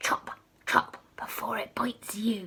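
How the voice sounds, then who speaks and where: Whispering at a fairly slow pace, a woman puts on a guttural character voice. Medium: read story. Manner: sinister, relishing.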